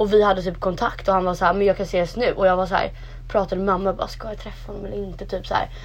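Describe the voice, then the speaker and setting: Noticeable background noise runs under a woman talking at a very fast pace. Her loudness swings widely. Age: 20s. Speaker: podcast co-host. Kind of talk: casual chat.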